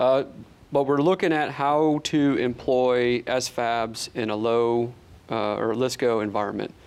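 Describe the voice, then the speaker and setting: A man with an ordinary speaking voice and an American accent, at a medium pitch and a fairly slow pace, against a quiet background. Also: ordinary pitch variation. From upstate New York. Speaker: army officer. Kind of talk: interview.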